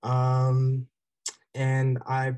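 A man speaks in a dark, mellow, somewhat breathy tone. The sound is dry and close, with no echo. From South Jersey. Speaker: university student. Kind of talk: panel discussion.

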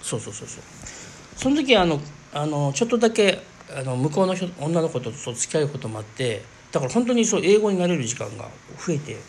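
A man speaks very fast with a fairly high pitch, his loudness swinging widely and his pitch ranging very wide. Long pauses come often, over noticeable background noise. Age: 40s. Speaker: spiritual podcast host. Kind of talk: casual monologue.

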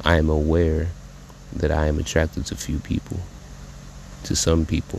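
A man's very deep, low voice, flat and monotone, at a moderate pace over noticeable background noise. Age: 20s. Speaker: spoken word poet. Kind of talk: freestyle spoken word poem. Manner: emotional, halting.

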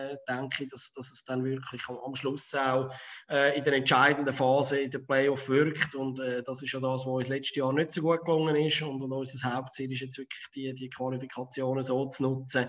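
Here a man talks with a Zurich accent. His intonation stays flat and monotone. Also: medium pitch for a man, moderate pace, hardly any pauses. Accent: Zurich Swiss German dialect. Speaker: floorball youth coach. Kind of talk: casual interview.

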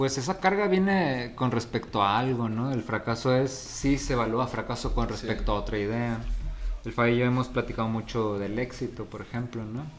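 Noticeable background noise accompanies a man whose moderate pace comes with ordinary pitch variation. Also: medium pitch for a man. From Mexico, La Paz, Baja California Sur. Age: 30s. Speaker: podcast host. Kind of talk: casual chat.

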